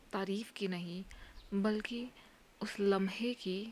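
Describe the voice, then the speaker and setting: This woman's voice sits at a medium pitch, is somewhat breathy, and has fairly even intonation. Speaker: spoken word performer. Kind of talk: dramatic monologue. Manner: soft-spoken, emotional.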